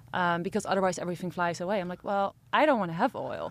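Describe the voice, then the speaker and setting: A woman at medium pitch talking at a very fast pace. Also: very clean recording, silent background. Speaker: entrepreneur. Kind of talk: interview. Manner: fast talker.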